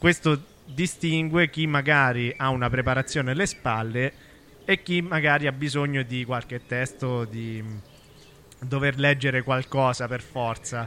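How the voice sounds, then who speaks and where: At a fairly slow pace, a man talks in a bright, sharp tone. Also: medium pitch for a man, ordinary pitch variation. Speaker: podcaster and performer. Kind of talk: solo monologue. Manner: improvised, with hesitations.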